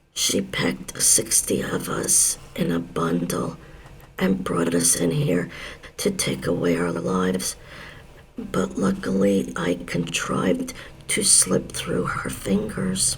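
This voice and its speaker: A raspy man puts on a character voice, speaking fairly slowly at very even loudness over clear background noise. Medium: read story. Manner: soft whisper.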